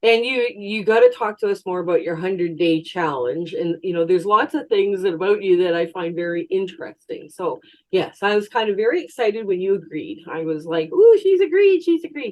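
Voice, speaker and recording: Talking at a fairly quick pace with hardly any pauses, a woman with a Canadian accent uses lively intonation at a medium pitch in a plain, everyday voice. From Canada. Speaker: quilting YouTuber. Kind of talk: interview.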